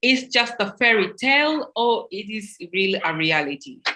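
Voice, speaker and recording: A woman speaks with a non-native accent in a bright, sharp tone, fairly high in pitch. Her background is quiet. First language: not English. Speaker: panel moderator. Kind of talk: panel discussion. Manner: halting.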